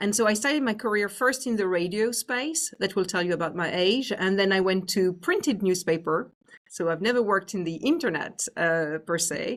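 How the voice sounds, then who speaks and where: A woman at medium pitch with lively intonation, a moderate pace and hardly any pauses. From France. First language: French. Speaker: business executive. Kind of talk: interview.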